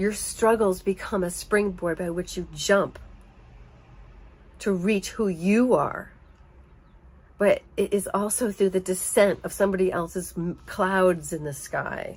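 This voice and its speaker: A woman speaks at a medium pitch with fairly even intonation. Her pace is fairly slow, with long, frequent pauses. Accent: American. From United States. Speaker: narcissistic abuse survivor. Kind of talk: personal testimony monologue to camera.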